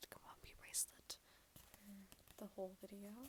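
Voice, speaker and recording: The speaker is soft-spoken, whispering. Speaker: ASMR creator. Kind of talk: ASMR soft-spoken talk to camera. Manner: soft-spoken to whispered.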